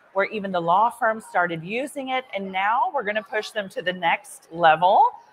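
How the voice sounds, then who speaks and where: Over noticeable background noise, a woman talks at a moderate pace in a medium pitch with ordinary pitch variation. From Texas, Dallas. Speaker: lawyer. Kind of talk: interview. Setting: conference floor.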